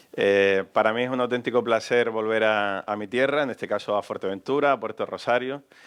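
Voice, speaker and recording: Against a quiet background, a man with a Canarian accent speaks with ordinary pitch variation. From Canary Islands, Gran Canaria (Telde). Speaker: radio journalist, interviewer. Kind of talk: public on-stage interview. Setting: stage with audience in a cultural hall.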